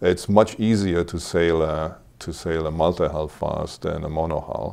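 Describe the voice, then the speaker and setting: A man's very deep, low voice with a German accent, a dark, mellow tone, and monotone, flat intonation. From Germany, Cologne; Germany. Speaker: hobby sailor; interview guest. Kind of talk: casual interview. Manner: halting, many repetitions. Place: studio. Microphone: lapel.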